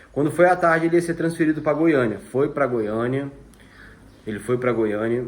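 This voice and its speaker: A man's voice with ordinary pitch variation. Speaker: vlogger. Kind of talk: personal testimony. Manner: fast.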